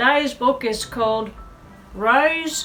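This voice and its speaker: A woman with an Australian accent speaks at a fairly high pitch over music in the background. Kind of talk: children's story reading. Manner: warm, expressive.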